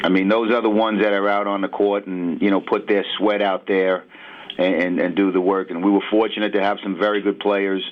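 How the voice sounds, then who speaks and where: A man's fairly low, flat monotone at a fairly quick clip, with a New York accent and noticeable background noise. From New York City. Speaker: basketball assistant coach. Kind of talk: sports radio interview. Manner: halting, many fillers.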